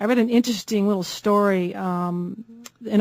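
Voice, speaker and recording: A woman with an American accent and an ordinary speaking voice, medium in pitch, at a fairly quick pace with fairly even intonation. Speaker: radio talk show host. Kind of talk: conservative talk radio hosting, call-in show.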